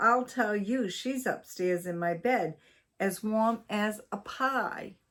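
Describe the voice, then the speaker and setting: In a put-on character voice, a female-sounding speaker rumbles at a fairly high pitch. She goes at a very slow pace on a very clean recording with a silent background. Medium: read story. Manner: grumbling, complaining.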